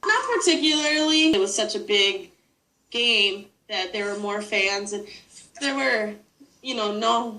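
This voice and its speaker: A woman with a northern US accent speaks at a fairly slow pace, with long, frequent pauses. Her pitch is fairly high and her intonation lively. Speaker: sports fan. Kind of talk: interview. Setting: video call.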